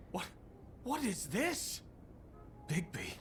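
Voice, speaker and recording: A man does a put-on character voice in a high pitch, with clear background noise behind him. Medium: video game.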